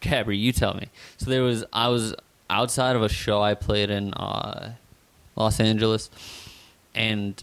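With a normal speaking voice, a man talks at a fairly low pitch and with fairly even intonation. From northeastern Pennsylvania. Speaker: musician. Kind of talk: casual chat. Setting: studio.

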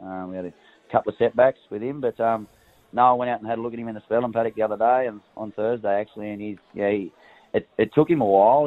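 In a rural Australian accent, a man talks at a very fast pace with a fairly low pitch and fairly even intonation. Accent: Australian, country. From rural New South Wales, Australia. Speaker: racehorse trainer. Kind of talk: casual interview chat. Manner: relaxed, casual.

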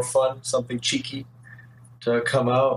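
Noticeable background noise behind speech with an American accent. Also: man. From Detroit, US Midwest. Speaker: video game artist. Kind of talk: casual interview chat.

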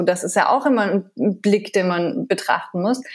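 A woman's ordinary speaking voice at a moderate pace. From France. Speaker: TV chef and food blogger. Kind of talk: interview.

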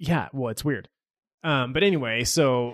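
A man with an American accent talks at a medium pitch with ordinary variation against a quiet background. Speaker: podcast host. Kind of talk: casual chat.

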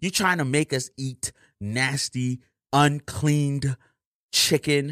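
A man is speaking. His pitch is fairly high and his tone bright and sharp. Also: very clean recording, silent background.

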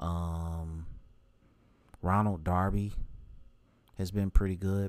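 With an American accent, a man speaks in a very deep, low, monotone voice with flat intonation, captured in a very clean recording with a silent background. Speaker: podcast host, fan. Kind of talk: solo opinion podcast monologue. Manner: monotone, low energy; casual, rambling with filler words.

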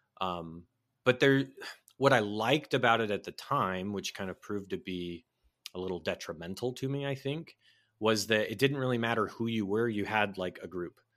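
With an American accent and an unremarkable speaking voice, a man speaks at a moderate pace and a fairly low pitch with ordinary pitch variation, in a very clean recording with a silent background. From Southern California, then Oklahoma from teens. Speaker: licensed counselor and podcaster. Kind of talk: interview, personal conversion story.

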